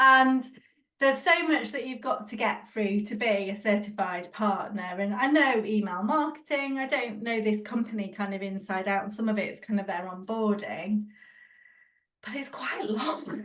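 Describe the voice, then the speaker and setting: A woman talks at a moderate pace and a fairly high pitch, with ordinary pitch variation. She has a plain, everyday voice. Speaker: podcast co-host. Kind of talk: casual chat.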